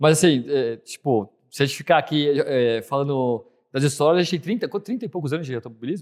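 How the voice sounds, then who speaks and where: On a very clean recording with a silent background, a man talks at a very fast pace with a fairly high pitch. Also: lively intonation. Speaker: podcast host, amateur racing driver. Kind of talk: casual chat.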